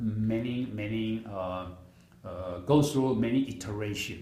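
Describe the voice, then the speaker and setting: Audible room echo around a man's fairly slow delivery. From Taiwan. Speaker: product seller. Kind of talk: sales pitch.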